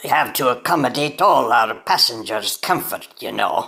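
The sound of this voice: In a put-on character voice, a woman speaks at a moderate pace with an extremely low pitch, a bright, sharp tone, vocal fry and lively intonation.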